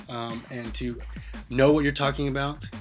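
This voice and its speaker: A man talks at a fairly quick pace. Music plays behind him. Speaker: student and teacher. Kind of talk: self-reflective class presentation. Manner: monotone; hesitant with many fillers.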